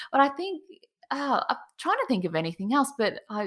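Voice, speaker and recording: A woman speaks with an Australian accent. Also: very clean recording, silent background. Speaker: cake designer. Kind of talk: interview.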